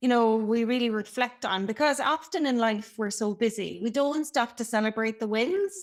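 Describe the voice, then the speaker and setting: A woman with an Irish accent, fairly high in pitch, at a moderate pace with hardly any pauses and ordinary pitch variation, on a very clean recording with a silent background. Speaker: brand and customer experience consultant. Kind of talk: podcast interview. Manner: talkative.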